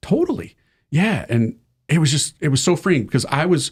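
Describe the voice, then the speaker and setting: This voice has an American accent, an animated tone and lively intonation, and it sounds somewhat breathy. It moves at a moderate pace on a very clean recording with a silent background. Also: man. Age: 40s. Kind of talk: casual interview chat.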